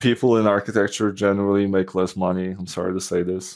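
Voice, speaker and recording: Delivered at a very fast pace in a Polish accent, the speech has monotone, flat intonation. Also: man. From Poland. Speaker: software developer and former architect. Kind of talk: podcast interview. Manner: casual, with many fillers.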